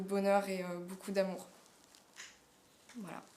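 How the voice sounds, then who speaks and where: The recording carries audible room echo. A woman speaks at a moderate pace. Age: 20s. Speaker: drama student. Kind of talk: casting self-presentation. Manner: hesitant, many fillers.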